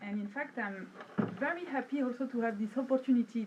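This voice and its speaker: A woman with a French accent, fairly high pitch, ordinary pitch variation and a moderate pace. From Brittany, France. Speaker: academic researcher. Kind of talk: conference presentation. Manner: hesitant, many fillers.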